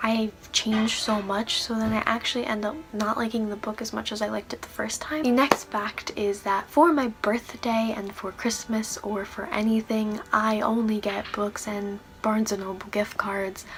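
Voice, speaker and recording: A woman speaks at a moderate pace with a fairly high pitch, fairly even intonation and hardly any pauses, over noticeable background noise. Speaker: book reviewer. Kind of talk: casual talk to camera.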